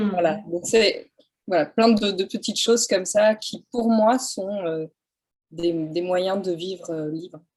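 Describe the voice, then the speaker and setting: The speaker is a woman at medium pitch. She talks at a very slow pace. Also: ordinary pitch variation. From France, countryside. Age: 40s. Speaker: photographer. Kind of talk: interview. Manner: hesitant, many fillers.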